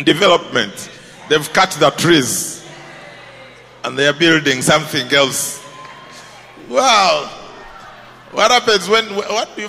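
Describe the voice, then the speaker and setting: Over noticeable background noise, a man with a fairly high voice speaks at a fairly slow pace, pausing long and often, his tone animated and intonation lively. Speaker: pastor. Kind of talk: sermon. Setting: church with congregation.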